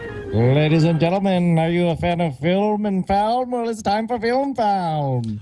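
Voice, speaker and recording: A put-on character voice at a middle pitch moves at a fairly slow pace with hardly any pauses, while clear music plays in the background. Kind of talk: showy announcer patter.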